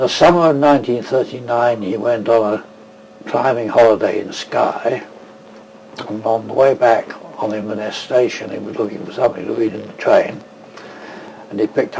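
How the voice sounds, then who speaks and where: The voice moves at a moderate pace with long, frequent pauses, big swings in loudness and ordinary pitch variation, against noticeable background noise. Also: man, medium pitch for a man. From England, London. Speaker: tartan expert and weaver. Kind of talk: interview.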